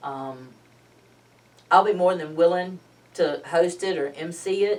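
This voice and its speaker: A woman with a normal speaking voice, fairly low in pitch, at a fairly slow pace, with ordinary pitch variation and big swings in loudness. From Georgia, US South. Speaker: local political club chair. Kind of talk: casual interview.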